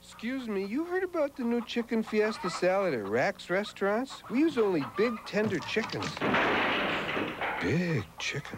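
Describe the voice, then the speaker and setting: The speaker's pitch swings very widely at a moderate pace, with noticeable background noise behind the voice. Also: man, high pitch for a man. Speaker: voice actor. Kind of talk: TV commercial read.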